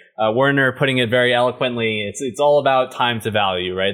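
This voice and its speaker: Words rush out very fast from a man. Variation in his pitch stays ordinary. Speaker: developer advocate. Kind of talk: casual tech interview.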